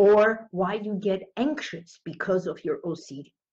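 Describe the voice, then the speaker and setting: In a somewhat breathy voice, a woman talks at a medium pitch. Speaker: hypnotherapist. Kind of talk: live video talk to viewers. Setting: live stream from healing center.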